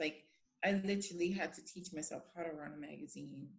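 A woman's somewhat breathy voice. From Bermuda. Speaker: handbag designer. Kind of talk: interview.

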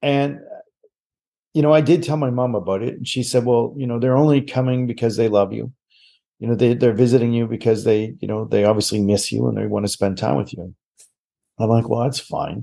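Speaking with a Maritime Canadian accent at a fairly quick pace, this voice has a dark, mellow tone and ordinary pitch variation, set against a quiet background. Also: man, medium pitch for a man. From Nova Scotia, Canada. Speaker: psychic medium and TV host. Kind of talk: casual interview chat.

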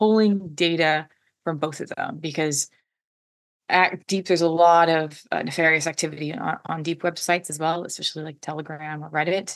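Against a quiet background, a woman with a plain, everyday voice talks fairly quickly, her fairly low pitch carried by fairly even intonation. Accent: American. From US Pacific Northwest, Washington State. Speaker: cyber threat intelligence advisor. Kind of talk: interview.

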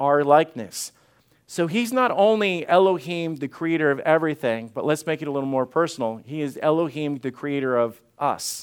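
A man with a fairly high pitch at a moderate pace. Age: 40s. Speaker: pastor. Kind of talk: sermon. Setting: church. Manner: animated.

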